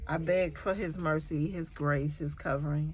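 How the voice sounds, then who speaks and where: The voice has a monotone, flat intonation at a moderate pace. Room echo is audible. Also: woman. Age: 50s. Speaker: nursing student and LPN vlogger. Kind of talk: casual vlog monologue. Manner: rambling, hesitant with fillers.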